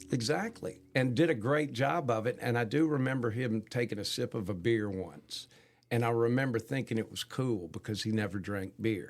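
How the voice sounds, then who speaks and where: A man's ordinary speaking voice at a moderate pace, medium in pitch, with ordinary pitch variation. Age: 60s. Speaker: concert producer. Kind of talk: casual chat.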